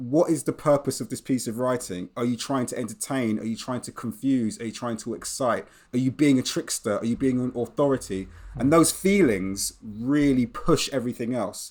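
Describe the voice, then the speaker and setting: Recorded very cleanly against a silent background, a man speaks with a British accent. His pace is moderate and his pitch variation ordinary. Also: medium pitch for a man. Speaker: English teacher and author. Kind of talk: interview conversation. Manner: reflective, conversational.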